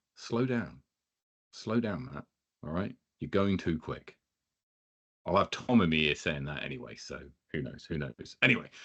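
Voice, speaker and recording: A man speaks in a very deep, low voice, his pitch swinging very widely and his loudness rising and falling sharply, with long pauses coming often. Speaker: podcast host. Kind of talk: live show introduction. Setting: live stream. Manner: fast.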